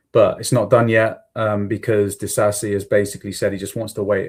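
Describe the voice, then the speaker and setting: The recording is very clean, its background silent. A man speaks somewhat breathily at a moderate pace, with monotone, flat intonation. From England, Somerset. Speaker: football podcaster. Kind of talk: solo podcast commentary. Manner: casual, many fillers.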